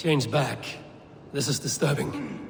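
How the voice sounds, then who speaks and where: A man's raspy, put-on character voice at fairly high pitch, with clear echo and clear background noise. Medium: video game. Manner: grave, formal.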